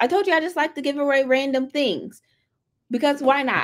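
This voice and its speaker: Very clean, silent-background audio of a woman in an American accent. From US South, Atlanta. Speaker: tech company community host. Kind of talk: live stream presentation. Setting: live stream. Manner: animated.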